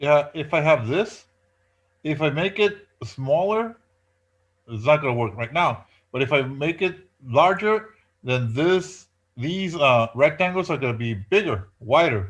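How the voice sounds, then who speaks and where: A man's fairly high, somewhat breathy voice with a non-native accent, fairly slow, with very wide pitch swings, in a very clean recording with a silent background. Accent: non-native English speaker. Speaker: professor. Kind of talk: lecture. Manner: hesitant with many fillers.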